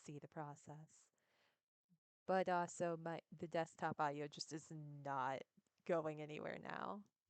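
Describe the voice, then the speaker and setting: Soft-spoken and very deep in pitch, a woman talks at a moderate pace with ordinary pitch variation in a dry, close sound with no echo. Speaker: streamer. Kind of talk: casual chat. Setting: live stream. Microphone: too quiet.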